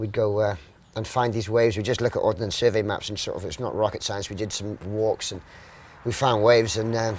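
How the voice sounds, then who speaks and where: Speaking at a fairly quick pace, a man with a South Welsh accent uses a fairly low pitch and fairly even intonation. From Wales, Mumbles (Swansea area). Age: 40s. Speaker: professional surfer. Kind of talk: casual interview.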